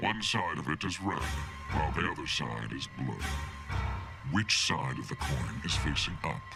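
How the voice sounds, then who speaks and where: Over loud background music, a man does a put-on character voice at a moderate pace. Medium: game stream. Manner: formal, measured, cryptic.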